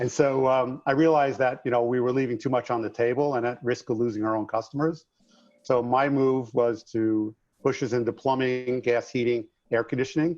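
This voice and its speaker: Speaking at a fairly quick pace with a slight New York accent, a man keeps a medium pitch and fairly even intonation. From New York, Long Island. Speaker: contractor business coach and author. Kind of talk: podcast interview.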